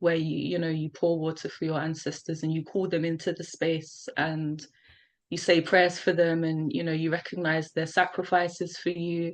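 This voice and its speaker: Against a quiet background, a woman with a London accent speaks at a moderate pace in monotone, flat intonation. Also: fairly low pitch for a woman. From South London, England. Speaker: poet. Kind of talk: casual interview chat.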